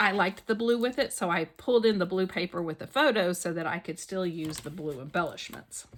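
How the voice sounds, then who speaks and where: A woman's medium-pitched voice with lively intonation, a fairly quick pace and hardly any pauses. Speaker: scrapbooking YouTuber. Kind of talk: craft tutorial with casual chat. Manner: casual, thinking aloud.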